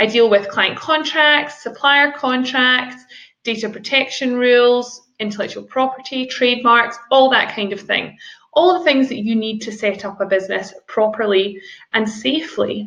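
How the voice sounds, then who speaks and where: This woman speaks in a Scottish accent with a high pitch, a bright, sharp tone and ordinary pitch variation. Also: moderate pace. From Scotland. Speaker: business lawyer. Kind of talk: seminar presentation. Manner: formal.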